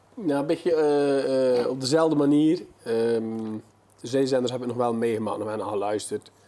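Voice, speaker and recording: Noticeable background noise surrounds a man's voice. He keeps a moderate pace and fairly even intonation. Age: 50s. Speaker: local radio presenter. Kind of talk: casual interview. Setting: tv studio. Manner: hesitant, many fillers.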